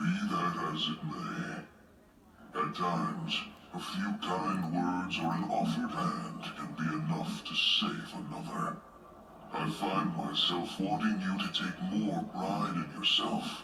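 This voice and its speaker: A man does a cartoonish character voice at a fairly slow pace. There is loud background noise and a clear echo. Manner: calm, archaic, measured.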